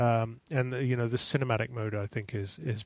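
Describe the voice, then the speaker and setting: A man's medium-pitched voice at a fairly quick pace, with fairly even intonation, on a very clean recording with a silent background. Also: dry, close sound with no echo. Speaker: Apple tech support consultant. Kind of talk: casual tech podcast discussion. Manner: fast.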